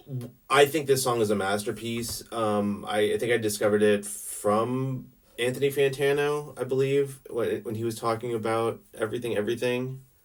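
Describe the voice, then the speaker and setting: A quiet man with a medium pitch talks at a moderate pace. His intonation is fairly even, and he barely pauses. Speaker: music video blogger. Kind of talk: casual music review monologue. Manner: halting, many fillers and restarts; self-described quiet and reserved.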